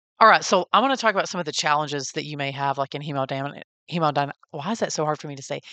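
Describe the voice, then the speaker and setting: A woman speaks at a very fast pace in a Texas accent, her pitch very deep and low with ordinary variation. The sound is dry and close with no echo, over a quiet background. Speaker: podcast host and NICU parent. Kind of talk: interview. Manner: casual, conversational.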